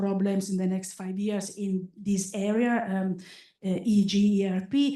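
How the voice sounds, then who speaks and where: Somewhat breathy and dark, mellow in tone, a woman speaks with fairly even intonation amid audible room echo. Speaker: statistics professor, conference speaker. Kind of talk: academic conference talk. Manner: many fillers and repetitions, halting.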